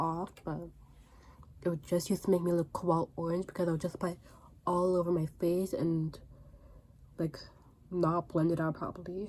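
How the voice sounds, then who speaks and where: A woman speaks with a fairly low pitch. Her pace is fairly quick. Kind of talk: casual talk to camera. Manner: stuttering.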